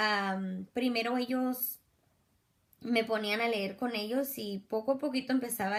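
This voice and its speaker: Fairly slow, fairly even intonation from a woman. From US (Mexican-born, raised from age two). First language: English (speaking Spanish). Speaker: education student. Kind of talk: class assignment reflection. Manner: halting, self-correcting.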